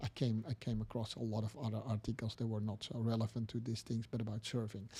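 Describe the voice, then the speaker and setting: A man's somewhat breathy voice at medium pitch, dark and mellow in tone, with very even loudness, a fairly quick pace and monotone, flat intonation. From Netherlands. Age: 60s. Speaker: motivational podcast host. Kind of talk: motivational talk. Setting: live stream. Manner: halting, many fillers.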